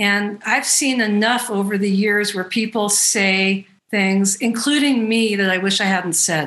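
A woman with an ordinary speaking voice talks at a fairly slow pace with hardly any pauses, keeping a medium pitch, fairly even intonation and very even loudness. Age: 50s. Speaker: bodywork practitioner and trainer. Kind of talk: interview conversation. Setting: video call.

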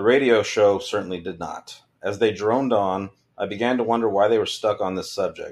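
Speaking at a fairly quick pace with an American accent, a man uses an ordinary speaking voice at fairly low pitch, on a very clean recording with a silent background. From California, San Joaquin Valley. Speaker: army veteran and funeral director. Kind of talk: reading aloud own memoir.

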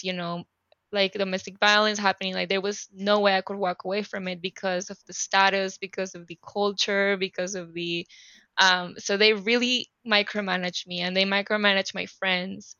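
A woman speaks with a Spanish accent at medium pitch. She keeps a moderate pace in monotone, flat intonation. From Panama City, Panama. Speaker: activist and life coach.

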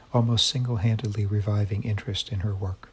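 A man talks at a moderate pace in a fairly low pitch. His voice is somewhat breathy, with fairly even intonation. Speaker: podcast host. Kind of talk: interview intro and conversation.

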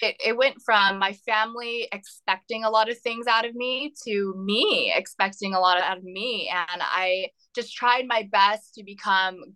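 A woman's fairly high, fairly even voice in an American accent, an ordinary speaking voice at a fairly slow pace, with a dry, close sound and no echo. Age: 20s. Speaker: entrepreneur and mother. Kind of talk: interview.

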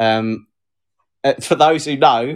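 The speech comes in a southern English accent at a fairly slow pace. Pitch variation is ordinary. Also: man. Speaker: podcast co-host. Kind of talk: casual chat, live stream. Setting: live video stream. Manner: sarcastic, laughs often.

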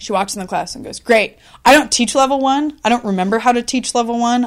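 Very fast speech comes from a woman with ordinary pitch variation. The recording is very clean, with a silent background. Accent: American. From Washington State, Columbia River Gorge. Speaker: actress and improv teacher. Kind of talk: casual interview. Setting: in a house.

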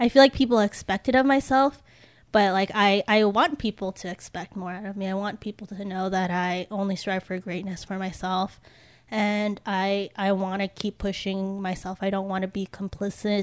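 The woman has an ordinary speaking voice, medium in pitch, with fairly even intonation at a moderate pace. Her loudness swings a lot, and the sound is dry and close with no echo. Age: 20s. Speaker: recent college graduate discussing environment. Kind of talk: casual chat.

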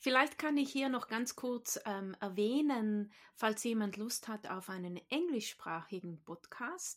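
A woman's fairly high voice at a very slow pace with lively intonation and hardly any pauses, on a very clean recording with a silent background. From South Tyrol, Italy. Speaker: Pilates and qigong teacher. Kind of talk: casual chat. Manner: hesitant, many fillers.

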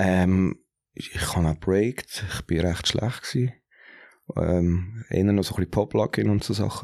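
In a Zurich accent, the speaker uses a dark, mellow tone with ordinary pitch variation, a moderate pace and long, frequent pauses, and the sound is dry and close with no echo. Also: man, very deep, low pitch for a man. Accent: Zurich Swiss German. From Zurich, Switzerland. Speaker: hip-hop DJ. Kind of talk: casual chat.

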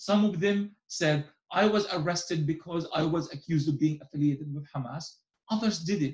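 A man speaks with an Arabic accent at a fairly high pitch. His pace is moderate. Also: ordinary pitch variation. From Gaza, Palestine. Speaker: journalist and author. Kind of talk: interview.

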